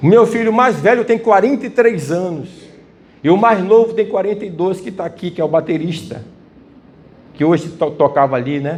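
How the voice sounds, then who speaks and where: With lively intonation and long, frequent pauses, a man talks at a moderate pace in a high pitch while the room echo is audible. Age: 60s. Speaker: preacher. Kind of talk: sermon.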